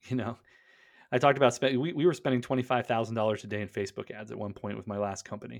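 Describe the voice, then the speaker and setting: A man with an American accent talks at a very fast pace in a medium pitch, with vocal fry and ordinary pitch variation. His loudness swings widely, and the recording is very clean with a silent background. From western Pennsylvania. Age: 30s. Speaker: e-commerce business owner. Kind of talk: casual interview. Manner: animated.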